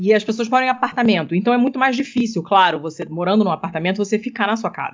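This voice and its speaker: A woman at a medium pitch, talking very fast with lively intonation. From Rio de Janeiro, Brazil. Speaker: podcaster. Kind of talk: casual chat. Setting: remote recording.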